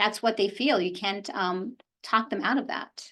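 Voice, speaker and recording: An ordinary speaking voice. A woman talks at a fairly slow pace with a medium pitch. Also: quiet background. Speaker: lawyer and mediator. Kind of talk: lecture.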